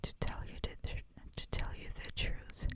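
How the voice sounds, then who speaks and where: Someone whispers at a very slow pace. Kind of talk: ASMR whispered book reading. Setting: close-mic home recording with audible breathing. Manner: whispered, soft, slow.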